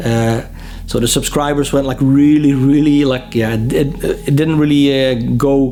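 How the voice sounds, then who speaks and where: Spoken in a Dutch accent with flat, monotone intonation, the clip carries noticeable background noise and audible room echo. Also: man. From Netherlands. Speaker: music vlogger and interviewer. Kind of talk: casual Q&A vlog. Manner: hesitant, many fillers and repetitions.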